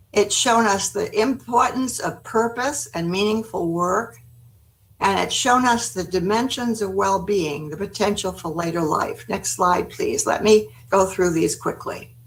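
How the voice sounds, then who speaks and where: Vocal fry and lively intonation at a fairly slow pace, with an American accent. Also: woman, medium pitch for a woman. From United States. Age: 80s+. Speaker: gerontology expert, former city planner. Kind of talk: webinar presentation. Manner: halting.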